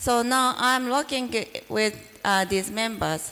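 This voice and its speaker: Over noticeable background noise, a woman with a Japanese accent speaks at a fairly slow pace with ordinary pitch variation. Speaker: professor. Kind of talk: lecture. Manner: halting.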